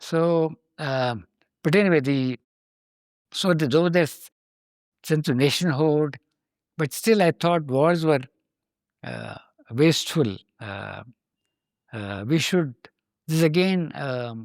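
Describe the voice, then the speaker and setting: Speaking at a very slow pace with long, frequent pauses and lively intonation, this voice sounds dry and close with no echo, on a very clean recording with a silent background. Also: man, fairly high pitch for a man. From India (Varanasi). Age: 80s+. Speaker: spiritual seeker interviewee. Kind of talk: podcast interview. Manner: halting, many fillers.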